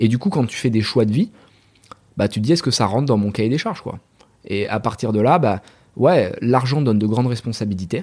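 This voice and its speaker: Animated in tone, a man talks at a fairly quick pace and medium pitch with ordinary pitch variation, leaving long, frequent pauses. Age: 30s. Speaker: entrepreneur. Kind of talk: casual interview.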